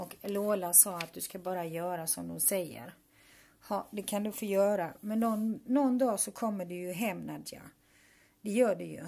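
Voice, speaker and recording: With a dark, mellow tone, a woman speaks at a moderate pace, showing ordinary pitch variation and big swings in loudness. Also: medium pitch for a woman. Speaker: vlogger, mother. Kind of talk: personal video message.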